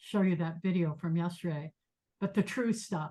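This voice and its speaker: With ordinary pitch variation, a woman speaks in a somewhat breathy voice. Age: 70s. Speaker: meditation teacher. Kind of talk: lecture. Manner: halting.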